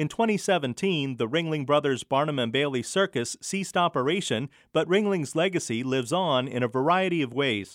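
This man has an ordinary speaking voice, fairly high pitch and lively intonation, and he talks at a moderate pace. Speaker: radio host. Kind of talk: scripted narration.

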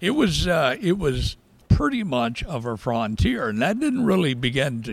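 Recorded very cleanly against a silent background, a man with a Southern US accent talks at a fairly slow pace. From US South, rural South Georgia. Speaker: historian. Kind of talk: interview.

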